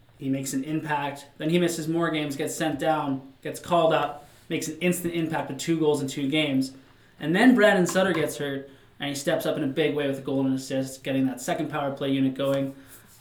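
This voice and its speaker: A man talks at a fairly quick pace and a fairly high pitch, with noticeable background noise behind him. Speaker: podcast host. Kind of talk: casual sports podcast chat. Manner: animated.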